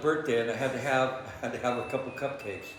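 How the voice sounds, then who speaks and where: Fairly even intonation comes at a fairly quick pace, with audible room echo and noticeable background noise. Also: man. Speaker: paranormal investigator. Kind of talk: casual chat. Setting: indoors at a distillery at night. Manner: halting, many fillers.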